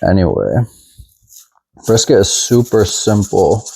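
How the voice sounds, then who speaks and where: A man with an American accent talks at a very slow pace in a relaxed tone. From Texas. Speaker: home cook. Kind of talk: cooking tutorial. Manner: casual, relaxed.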